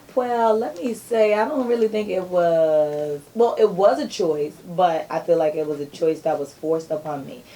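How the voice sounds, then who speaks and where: A woman with an American accent, a dark, mellow tone, a fairly low pitch, lively intonation, a moderate pace and hardly any pauses. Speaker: R&B singer. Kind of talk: interview.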